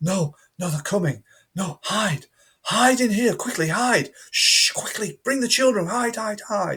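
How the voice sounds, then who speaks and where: A man puts on a character voice. He whispers throughout. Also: fairly slow pace. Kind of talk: urgent, hurried. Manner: whispering loudly.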